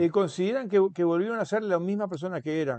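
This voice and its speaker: A man's high-pitched voice with lively intonation over a quiet background. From Uruguay. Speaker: author; interviewee. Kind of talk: interview. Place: home room. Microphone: earbuds.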